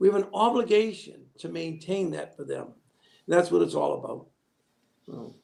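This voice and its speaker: A man speaks at a moderate pace with big swings in loudness. Long, frequent pauses run through his speech. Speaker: state senate candidate. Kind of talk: political interview. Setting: studio livestream.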